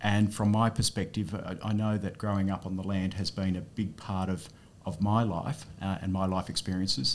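A man's voice sits fairly low. He talks at a fairly quick pace with fairly even intonation. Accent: Australian. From regional New South Wales, Australia. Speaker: politician, former veterinarian. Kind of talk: casual interview chat.

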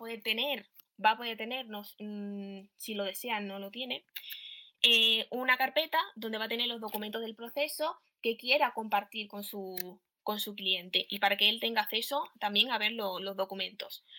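A woman's fairly high voice, bright and sharp in tone, moves at a moderate pace with fairly even intonation and big swings in loudness. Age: young. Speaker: startup founder. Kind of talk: pitch presentation.

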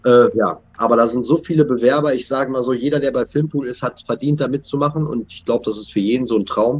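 At a very fast pace with hardly any pauses, the voice keeps a fairly even intonation while its loudness swings a lot. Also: man, medium pitch for a man. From western Germany (North Rhine-Westphalia). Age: 30s. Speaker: TV actor. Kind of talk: casual chat.

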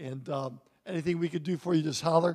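A man with a normal speaking voice, fairly high in pitch, at a fairly quick pace with fairly even intonation. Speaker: pastor. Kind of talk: closing remarks and announcements. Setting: church.

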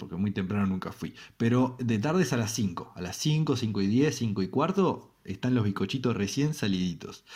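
In a very clean recording with a silent background, a man of medium pitch speaks with a Uruguayan accent at a fairly slow pace, his intonation lively. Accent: Uruguayan Rioplatense Spanish. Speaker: radio show host. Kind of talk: comedic monologue. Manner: halting, many fillers and repetitions.

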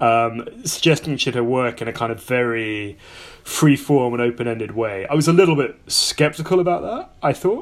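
Noticeable background noise runs under a man's voice. He keeps a moderate pace with ordinary pitch variation. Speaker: podcast co-host. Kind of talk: interview chat.

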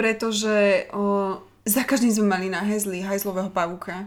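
At a fairly quick pace comes an unremarkable speaking voice on a very clean recording with a silent background. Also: woman. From Slovakia, Hlohovec. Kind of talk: casual chat.

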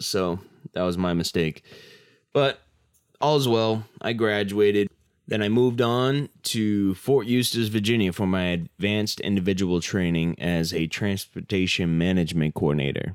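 A man with an American accent talks at a moderate pace in a fairly low voice with ordinary pitch variation, recorded very cleanly against a silent background. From Massachusetts. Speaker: army veteran, podcast host. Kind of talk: casual monologue.

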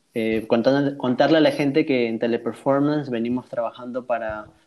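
A man's dark, mellow tone at medium pitch, with fairly even intonation. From South America. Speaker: podcast host and call center agent. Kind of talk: casual chat.

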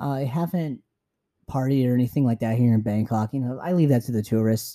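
A man with a Californian accent at a very fast pace, medium pitch and ordinary pitch variation, his tone dark and mellow, in a dry, close sound with no echo. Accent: Californian American. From San Francisco, US. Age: 20s. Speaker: podcast host. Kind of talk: solo travel podcast monologue.

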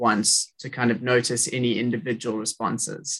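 A man with a South African accent, medium-pitched, at a moderate pace with fairly even intonation. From South Africa, Cape Town. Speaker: podcast host, student. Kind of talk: interview.

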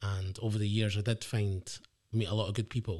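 On a very clean recording with a silent background, a man with an Edinburgh accent speaks at a fairly low pitch, somewhat breathy, with monotone, flat intonation. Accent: Edinburgh Scottish. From Scotland, Edinburgh. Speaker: guest sharing life story. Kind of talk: casual interview.

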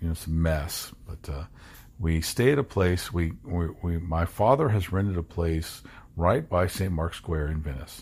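Somewhat breathy, a man with an American accent speaks at a very deep, low pitch with ordinary pitch variation. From Kentucky, US. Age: 40s. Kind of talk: personal storytelling. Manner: halting.

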